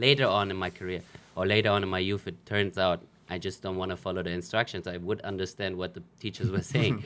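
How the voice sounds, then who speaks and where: A man with a German accent talks at a very fast pace in a very deep, low voice, his intonation fairly even. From Germany. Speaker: professional footballer. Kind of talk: interview.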